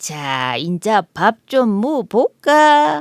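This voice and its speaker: A put-on character voice, female-sounding and at a medium pitch, moves at a very slow pace with very wide pitch swings. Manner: mocking, laughing.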